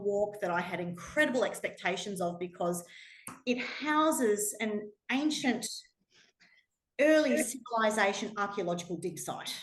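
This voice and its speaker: A woman with an Australian accent speaks at a moderate pace in an animated tone, her intonation lively, with audible echo in the room. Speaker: pilgrim sharing travel experiences. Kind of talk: talk to a small audience.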